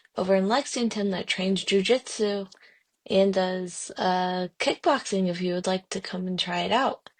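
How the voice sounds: At a fairly slow pace, a woman speaks with a medium pitch.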